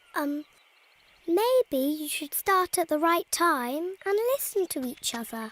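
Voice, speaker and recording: This is a cartoonish character voice with extremely high pitch. It moves at a fairly slow pace. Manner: hesitant, stammering.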